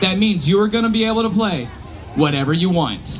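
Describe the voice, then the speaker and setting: Noticeable background noise and audible room echo surround the recording. A man speaks with lively intonation and an energetic tone. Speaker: live show performer leading audience participation. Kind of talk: live audience participation instructions. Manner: energetic, loud.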